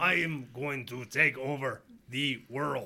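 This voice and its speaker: Using a put-on character voice, a man sounds robotic and menacing, speaking at a medium pitch and a fairly slow pace. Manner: robotic, menacing.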